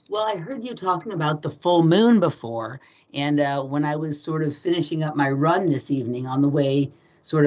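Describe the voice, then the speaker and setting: A woman with a West Coast accent and a very deep, low voice speaks at a moderate pace. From Los Angeles. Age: 40s. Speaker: guest. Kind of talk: casual chat. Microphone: switched rooms to avoid echo.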